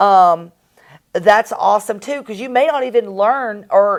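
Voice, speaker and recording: This woman talks at a fairly slow pace with a Southern US accent. Her voice sits fairly high and sounds animated. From US South. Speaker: real estate investor and coach, co-host. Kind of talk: casual promotional chat.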